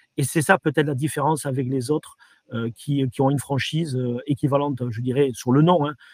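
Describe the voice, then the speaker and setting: Fairly high-pitched and fairly quick, a man speaks with fairly even intonation in a dry, close sound with no echo. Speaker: franchise company director. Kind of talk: interview. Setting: virtual trade fair interview. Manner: halting, many repetitions and fillers.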